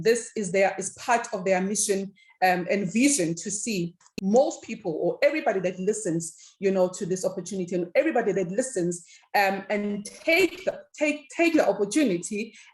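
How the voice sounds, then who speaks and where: A woman's somewhat breathy, medium-pitched voice at a moderate pace, with lively intonation. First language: not English. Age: 50s. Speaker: network marketing presenter. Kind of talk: sales pitch. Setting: evening presentation session. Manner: hesitant, many fillers.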